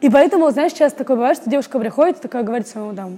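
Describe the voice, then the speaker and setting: A woman talks in a high voice with ordinary pitch variation. Noticeable background noise is present. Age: 20s. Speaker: actress and acting student. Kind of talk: casual interview. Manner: animated.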